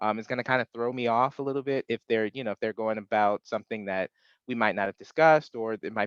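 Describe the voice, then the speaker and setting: A man at medium pitch, dry, close sound with no echo, against a quiet background. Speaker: webinar presenter, exam prep instructor. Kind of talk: webinar presentation. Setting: video call webinar. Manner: fast; hesitant, many filler words.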